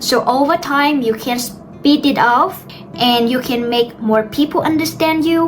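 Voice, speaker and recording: Noticeable background noise is heard behind a woman's voice. She speaks at a fairly slow pace with ordinary pitch variation. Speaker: English teacher YouTuber. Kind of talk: tutorial. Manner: slow, deliberate; clear ending sounds.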